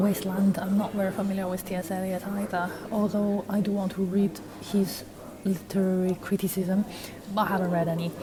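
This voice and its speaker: A woman's medium-pitched, monotone, flat delivery over noticeable background noise. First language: non-English. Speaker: university student vlogger. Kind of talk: casual vlog talk. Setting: walking outdoors. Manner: conversational, with fillers.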